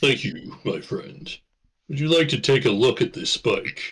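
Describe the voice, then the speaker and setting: A man's put-on character voice, fairly high pitched, at a moderate pace. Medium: actual play. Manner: polite, slightly formal.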